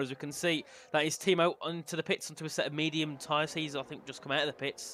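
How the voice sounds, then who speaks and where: The voice has a bright, sharp tone and a Birmingham accent. It moves at a very fast pace. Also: man. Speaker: sim racing commentator. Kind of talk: live commentary. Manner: animated.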